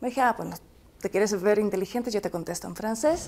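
The voice has a dark, mellow tone and ordinary pitch variation, on a very clean recording with a silent background. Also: woman. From France. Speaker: commentator's wife. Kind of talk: interview.

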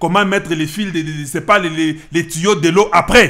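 A man with high pitch at a fairly quick pace, with ordinary pitch variation and a quiet background. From DR Congo, Kasai; DR Congo. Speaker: political commentator, online channel host. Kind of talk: political commentary monologue. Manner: emphatic, repetitive. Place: office. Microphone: studio mic.

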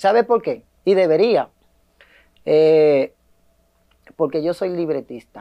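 A man speaks at a very slow pace in a high voice with a dark, mellow tone and ordinary pitch variation. Long, frequent pauses break up his speech against a quiet background. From Dominican Republic. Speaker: comedian and scriptwriter; comedian. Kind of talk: interview. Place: studio. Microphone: lapel.

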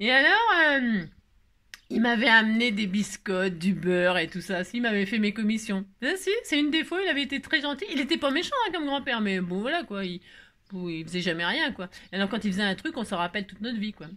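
A woman speaks in an animated tone at a fairly quick pace. Her fairly high voice swings very widely in pitch. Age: 50s. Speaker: crafting youtuber. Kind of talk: craft tutorial with casual chat. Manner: chatty, animated. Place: home room. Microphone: phone near.

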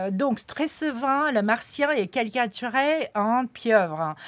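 A woman at a very slow pace, her pitch swinging very widely. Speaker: interpreter. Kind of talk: live interpretation. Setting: studio. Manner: halting. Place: studio. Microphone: studio mic.

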